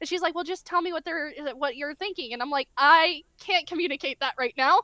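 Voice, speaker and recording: A woman's raised, projected voice, extremely high in pitch, bright and sharp in tone, at a fairly quick pace with ordinary pitch variation. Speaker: novelist, co-author. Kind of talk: podcast interview, casual chat. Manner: fast; animated, rambling with fillers.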